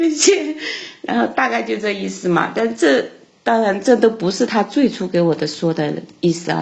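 A woman's voice at medium pitch and moderate pace. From Sichuan, China. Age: 40s. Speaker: caller to an advice show. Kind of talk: phone-in call about her marriage.

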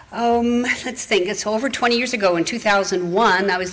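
A woman speaks over noticeable background noise. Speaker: congregation member. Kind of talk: reading aloud. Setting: church.

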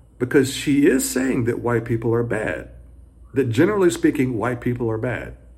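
Speaking with an American accent, a man uses an animated tone at a medium pitch, with vocal fry in his voice. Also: ordinary pitch variation, moderate pace. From US South. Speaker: high school economics teacher, commentator. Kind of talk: opinion monologue. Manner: animated, indignant.

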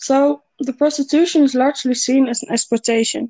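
A woman with a Dutch accent speaks at a moderate pace, her high voice dark and mellow in tone with fairly even intonation. The sound is dry and close, with no echo. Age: 20s. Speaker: university student. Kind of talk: scripted interview. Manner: formal.

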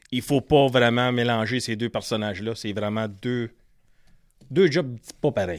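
In a Quebec accent, a man speaks at a medium pitch with ordinary pitch variation and long, frequent pauses. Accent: Québécois French. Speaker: fishing pro-staffer. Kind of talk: casual chat.

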